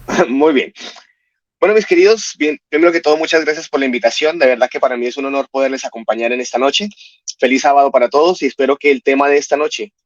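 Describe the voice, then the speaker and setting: Very fast speech with a Colombian accent, dry and close with no echo. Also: man. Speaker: family counselor and speaker. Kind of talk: religious talk. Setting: online broadcast.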